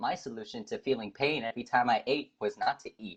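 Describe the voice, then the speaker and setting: His pitch swings very widely as a man speaks. The pace stays moderate. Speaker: podcast co-host. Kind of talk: casual chat.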